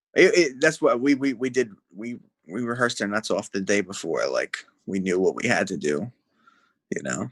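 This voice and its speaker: A man with a New Jersey accent speaks at a moderate pace and medium pitch, with lively intonation and vocal fry. He takes long, frequent pauses. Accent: full Jersey. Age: 20s. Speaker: musician. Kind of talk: casual chat.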